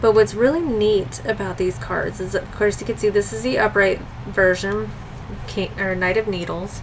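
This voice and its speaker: Moderate-paced speech against noticeable background noise. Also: woman. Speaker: tarot and oracle card youtuber. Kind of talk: casual video review of card decks.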